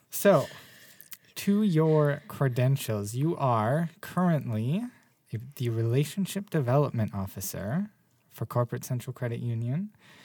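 At a fairly slow pace, a man speaks at a medium pitch in a somewhat breathy voice with a dark, mellow tone. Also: lively intonation. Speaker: podcast host. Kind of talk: casual chat. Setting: studio.

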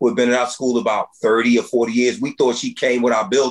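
This man speaks at a very fast pace in a passionate tone with an American accent. His pitch is medium, with ordinary variation. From US, Philadelphia inner city. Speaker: school principal. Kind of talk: interview.

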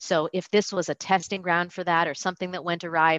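With a Californian accent, a woman speaks at a very deep, low pitch in a bright, sharp tone, her intonation fairly even. The sound is dry and close with no echo, over a quiet background. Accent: General American, Californian. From US West Coast, Los Angeles. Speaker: retirement account business owner. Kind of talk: casual interview chat.

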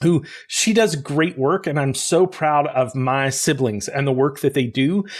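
On a very clean recording with a silent background, a man with an American accent has a plain, everyday voice, speaking at a moderate pace in a fairly high pitch with ordinary pitch variation. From US South, rural Arkansas. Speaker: corporate learning and talent development expert. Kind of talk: interview.

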